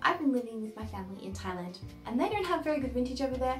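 A woman's voice over clear background music. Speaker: vintage fashion vlogger. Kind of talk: casual vlog chat. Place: home room.

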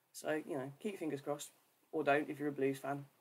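A woman speaks with a West Midlands accent. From English West Midlands, near Birmingham. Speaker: church ministry coordinator. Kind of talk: livestream talk with devotional reflection. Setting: Facebook live video stream. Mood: friendly, light humour. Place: home room. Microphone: webcam.

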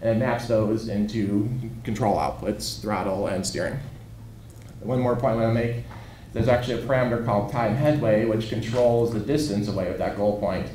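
A man talks at a fairly quick clip with fairly even intonation. There is audible room echo and light background noise. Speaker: researcher; conference presenter. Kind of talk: lecture. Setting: stage with audience. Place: hall.

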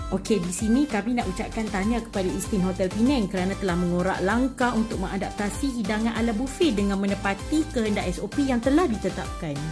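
Over clear music in the background, the speech rushes at a very fast pace with hardly any pauses and ordinary pitch variation. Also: woman. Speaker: food vlogger. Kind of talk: casual vlog chat. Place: hall. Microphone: phone near.

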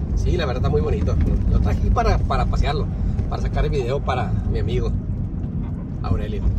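Very fast pace, long and frequent pauses, and loud background noise. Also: dry sound with no echo. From Tijuana, Mexico. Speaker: video blogger. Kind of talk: driving vlog narration. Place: car. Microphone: phone near.

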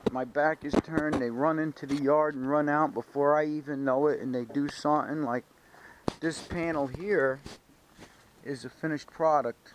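The voice has an American accent and a dry sound with no echo. Noticeable background noise is present. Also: man, fairly high pitch for a man, moderate pace. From Stamford, Connecticut. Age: 50s. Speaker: car restoration hobbyist vlogger. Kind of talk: casual vlog. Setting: home garage. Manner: animated. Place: garage. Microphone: phone near.

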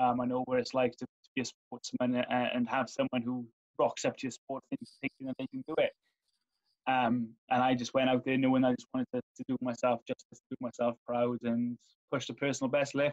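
With a Welsh accent, a man speaks fairly quickly in a flat monotone at a medium pitch over a quiet background. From Wales. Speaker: former Paralympian and sport development officer; interviewee. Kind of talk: interview. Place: home room. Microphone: video call.

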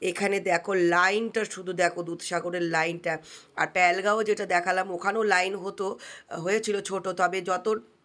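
Monotone and flat, a woman's medium-pitched voice carries through. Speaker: vlogger. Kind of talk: vlog narration. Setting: outdoors.

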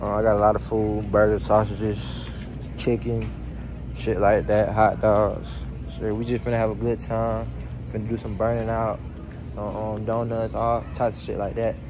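Music plays behind the speaker. A man talks at a moderate pace. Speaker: vlogger. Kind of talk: casual vlog chat. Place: shop. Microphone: phone near.

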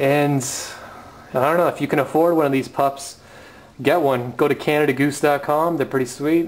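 The voice holds a moderate pace and very even loudness, with monotone, flat intonation and long, frequent pauses. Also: man, fairly high pitch for a man. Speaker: vlogger. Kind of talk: casual product review. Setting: outdoors in snowy backyard. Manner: casual, slangy. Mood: playful, amused. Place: home room. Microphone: phone near.

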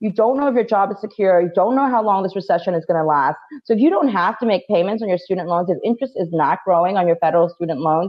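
A woman with a New York accent talks at a very fast pace with hardly any pauses and ordinary pitch variation. The background is quiet. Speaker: financial education company founder, panel guest. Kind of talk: casual conversational advice. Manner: fast talker. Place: home room. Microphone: video call.

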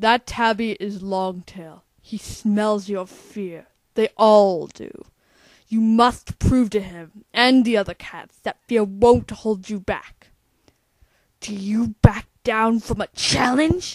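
A female-sounding, cartoonish character voice of medium pitch speaks at a very slow pace. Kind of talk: voice audition.

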